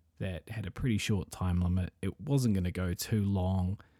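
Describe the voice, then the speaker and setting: A man with a New Zealand accent speaks quietly at a very deep, low pitch, his tone dark and mellow, with ordinary pitch variation. The recording is very clean with a silent background and a dry, close sound with no echo. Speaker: wrestling podcast host. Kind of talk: solo commentary podcast. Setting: at home. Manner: quieter, hushed indoor voice.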